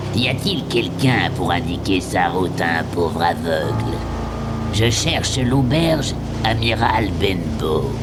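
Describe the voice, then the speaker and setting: A man performs a robotic, put-on character voice. Loud background noise fills the recording. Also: fairly slow pace. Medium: audio drama. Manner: menacing.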